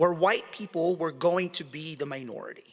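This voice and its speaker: On a very clean recording with a silent background, a high-pitched man speaks at a moderate pace in a bright, sharp tone. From Philippines. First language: Tagalog. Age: 40s. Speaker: journalist. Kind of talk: public talk.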